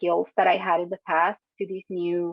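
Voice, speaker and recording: The speaker is a woman with a medium pitch. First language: not English. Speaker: international graduate student. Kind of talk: Q&A panel answer.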